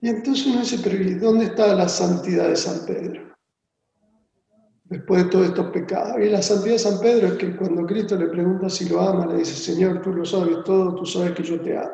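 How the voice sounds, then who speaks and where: A man with an Argentine accent talks at a fairly quick pace in a high pitch. His intonation is fairly even, and the room echo is audible. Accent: Argentine Spanish (Rioplatense). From Argentina. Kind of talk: interview on theology. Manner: hesitant, repeats words.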